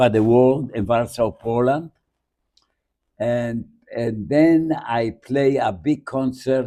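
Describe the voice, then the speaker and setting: Taking long, frequent pauses, a man speaks very slowly at a medium pitch in a dark, mellow tone. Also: ordinary pitch variation. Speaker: Holocaust survivor, bandleader. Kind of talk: interview answer.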